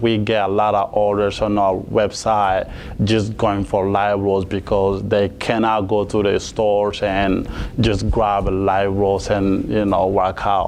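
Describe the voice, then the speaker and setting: Noticeable background noise sits behind a man's fairly low voice. He speaks at a fairly slow pace. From Mali, West Africa. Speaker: coffee company founder. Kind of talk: interview. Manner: halting, many fillers.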